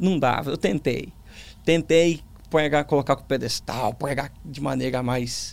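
Slowish in pace, a man with a fairly high pitch uses vocal fry, his loudness swinging widely. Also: ordinary pitch variation. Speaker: pastor and preacher. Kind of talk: testimony interview. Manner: calm.

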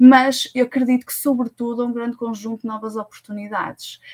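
Speaking at a moderate pace, the woman sounds somewhat breathy. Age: 30s. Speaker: tech recruitment consultant. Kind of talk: interview.

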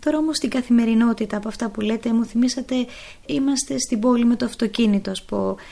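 This woman's voice has a dark, mellow tone. Her pitch is fairly high, with ordinary pitch variation. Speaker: radio host and nun. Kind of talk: interview questions.

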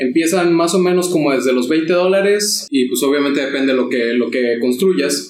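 Using a normal speaking voice, a man talks at a moderate pace with hardly any pauses. His fairly high pitch moves with lively intonation at very even loudness. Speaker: tabletop RPG podcast co-host. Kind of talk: casual chat.

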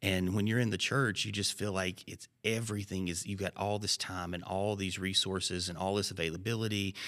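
A man with a Southern US accent speaks at a fairly quick pace in a fairly low pitch, his tone bright and sharp but his intonation monotone and flat. The recording is very clean, with a silent background. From Alabama. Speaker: pastor. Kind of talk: casual chat.

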